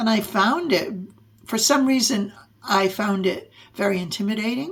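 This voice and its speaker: The woman's voice is somewhat breathy. She speaks at a moderate pace with ordinary pitch variation. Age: 70s. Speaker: podcast host and adult harp learner. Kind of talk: personal storytelling monologue. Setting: podcast/video recording.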